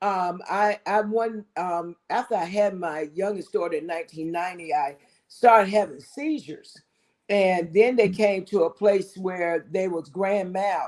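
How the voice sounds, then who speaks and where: At a fairly slow pace, a woman speaks at a medium pitch with ordinary pitch variation. Hers is an unremarkable speaking voice. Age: 60s. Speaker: married guest sharing relationship advice. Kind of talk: casual talk show chat.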